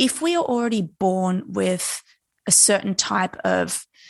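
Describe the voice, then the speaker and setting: Against a quiet background, a woman with an Australian accent and a medium pitch talks at a fairly slow pace. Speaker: neurophysiologist. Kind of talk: interview.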